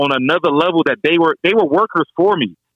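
The voice carries a DMV accent. Its pitch varies in an ordinary way. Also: man. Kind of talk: casual chat. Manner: fast; repetitive, stumbling.

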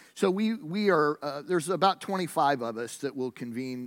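His pace is moderate. The man's pitch shows ordinary variation. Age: 50s. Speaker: pastor. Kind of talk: sermon. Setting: church. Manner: halting.

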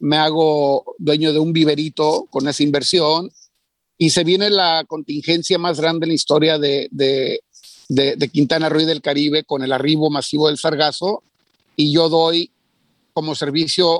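An ordinary speaking voice at a fairly slow pace, with very even loudness, fairly even intonation and a dry, close sound with no echo. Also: man. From Mexico. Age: 40s. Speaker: entrepreneur. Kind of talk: interview.

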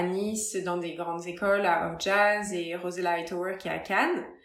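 A woman speaks in a monotone, flat delivery. Audible room echo and noticeable background noise surround her. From France, Paris area. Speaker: retired dancer and yoga teacher. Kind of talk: casual interview.

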